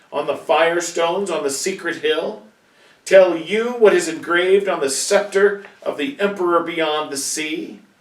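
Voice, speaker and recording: A man puts on a shrill character voice with a high pitch. He keeps to a moderate pace. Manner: angry, accusing.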